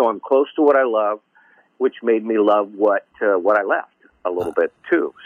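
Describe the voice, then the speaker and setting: A normal speaking voice from a man, moderate in pace, fairly low-pitched, with ordinary pitch variation. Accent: American. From Michigan, Detroit area. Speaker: music promotion executive. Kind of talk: casual interview chat.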